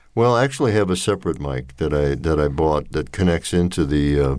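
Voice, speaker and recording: His voice is very deep and low. The man talks in an American accent. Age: 80s+. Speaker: retired architect and volunteer reader. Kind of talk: interview. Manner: halting, many fillers.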